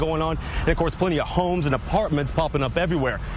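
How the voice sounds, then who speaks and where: A man speaks at a very fast pace. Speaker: TV news reporter. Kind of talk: TV news reporting.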